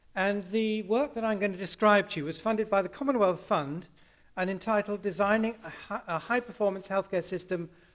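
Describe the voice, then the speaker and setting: Talking at a fairly quick pace, a man speaks in a British accent. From UK. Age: 60s. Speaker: health services researcher. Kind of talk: conference talk.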